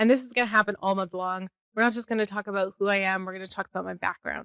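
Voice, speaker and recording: Speaking very fast, a woman has a slight Canadian accent and fairly even intonation. The sound is dry and close with no echo. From Canada (Calgary, Alberta). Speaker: podcast host, bookkeeper and fractional CFO. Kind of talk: casual personal podcast monologue. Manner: casual, chatty with fillers.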